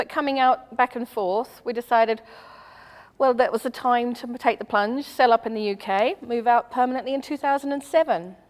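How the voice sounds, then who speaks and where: Pitch variation is ordinary. The pace is moderate. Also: woman, high pitch for a woman. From New Zealand and Australia. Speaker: charity club member. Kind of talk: TV interview. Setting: TV studio.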